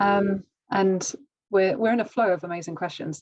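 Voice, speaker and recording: A woman with a British accent and a medium pitch. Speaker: webinar host. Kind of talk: live webinar Q&A. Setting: video call.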